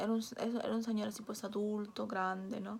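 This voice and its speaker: In a Peruvian accent, the speaker goes at a fairly slow pace with monotone, flat intonation. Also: woman. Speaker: vlogger. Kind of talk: personal storytelling vlog. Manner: casual, with fillers and hesitations.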